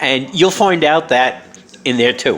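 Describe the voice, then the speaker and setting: Lively intonation marks this voice with a New York accent, heard over noticeable background noise. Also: man. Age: 60s. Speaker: author and vlogger. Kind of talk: casual monologue. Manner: halting, many fillers.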